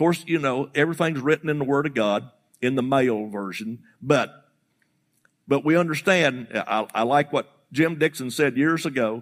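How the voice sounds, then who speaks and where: In a very clean recording with a silent background, a man speaks at a medium pitch and moderate pace with ordinary pitch variation. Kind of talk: sermon. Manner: animated, emphatic call-and-response preaching cadence.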